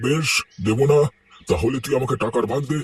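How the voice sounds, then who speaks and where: A man's cartoonish character voice at a moderate pace, with ordinary pitch variation. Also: medium pitch for a man. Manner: firm, menacing.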